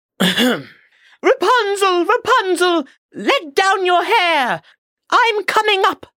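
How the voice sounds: In a put-on character voice, a female-sounding speaker squeaks at an extremely high pitch and a very slow pace.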